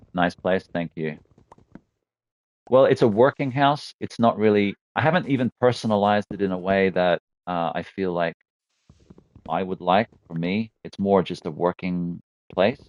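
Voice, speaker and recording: A man's fairly low voice, with ordinary pitch variation and long, frequent pauses, comes through with a dry, close sound with no echo against a quiet background. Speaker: gaming streamer. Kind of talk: live gameplay commentary. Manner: fast; casual, chatty.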